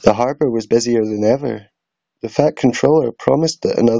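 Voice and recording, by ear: The background is quiet. The words are read aloud in a natural voice with ordinary pitch variation.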